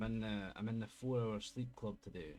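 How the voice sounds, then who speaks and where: With music in the background, a man in a Scottish accent speaks at a fairly low pitch and a fairly slow pace. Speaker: gaming streamer. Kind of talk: casual talk to camera.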